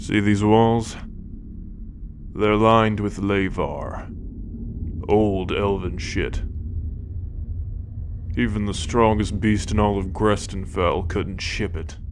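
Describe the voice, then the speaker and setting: A gruff, put-on character voice moves at a fairly slow pace with long, frequent pauses over loud background noise. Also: man, fairly low pitch for a man. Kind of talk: fantasy ASMR roleplay. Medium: solo performance. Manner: gruff, sardonic, profane.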